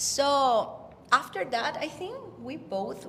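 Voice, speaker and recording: Noticeable background noise sits behind the speaker. A woman talks with a Spanish accent. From Mexico, Puerto Vallarta. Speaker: actress and rock singer. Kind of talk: interview. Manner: halting.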